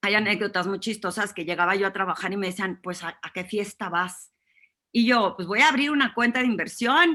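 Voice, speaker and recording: Her tone is bright and sharp, and her pace fairly quick. The woman's medium pitch moves with ordinary variation. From northern Mexico (Torreón, Coahuila). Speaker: executive presence consultant. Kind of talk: interview.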